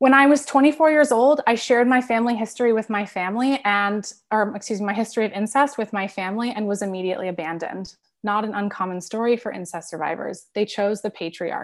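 A woman with a fairly high pitch and ordinary pitch variation talks at a very fast pace with hardly any pauses, in a very clean recording with a silent background. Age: 30s. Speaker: author and activist, trauma survivor. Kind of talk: presentation. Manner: halting.

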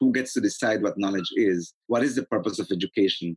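A man's lively intonation at a fairly quick pace, with a dry, close sound and no echo. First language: Spanish. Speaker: academic and activist. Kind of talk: interview discussion.

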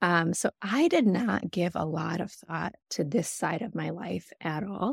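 Dry and close with no echo, a woman with an American accent talks at a fairly low pitch with vocal fry. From Michigan, US. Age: 30s. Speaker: donor-conceived sibling. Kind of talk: casual group interview.

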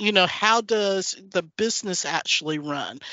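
An ordinary speaking voice with an American accent moves along at a moderate pace. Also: woman. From US South, North Carolina. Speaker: former oil and gas executive. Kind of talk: interview.

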